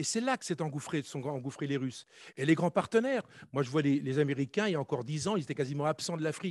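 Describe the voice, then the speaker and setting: A man talks at a very fast pace in a fairly high pitch, with a dry, close sound with no echo and a quiet background. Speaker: conference panelist, former army officer. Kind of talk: conference talk.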